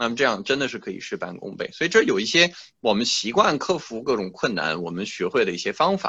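A man with a French accent, medium in pitch, at a moderate pace with very wide pitch swings. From France. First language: French (speaking Chinese). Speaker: classical musician. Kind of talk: interview. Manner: halting, many fillers.

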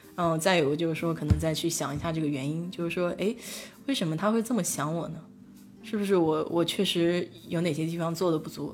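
Audible room echo surrounds the voice. A woman speaks with ordinary pitch variation. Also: fairly low pitch for a woman, fairly quick pace. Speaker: livestream host. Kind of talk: casual chat. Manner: hesitant, many filler sounds.

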